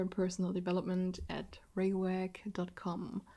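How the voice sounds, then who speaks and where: Speaking at a fairly slow pace, a woman has a dark, mellow tone and a German accent. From southwest Germany. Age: 20s. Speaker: podcast host. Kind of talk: casual monologue. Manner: halting.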